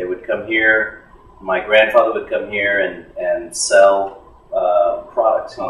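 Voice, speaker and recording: Very slowly, a man talks while noticeable background noise and audible room echo surround him. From San Antonio, Texas (moved from Monterrey at age two). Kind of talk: casual interview.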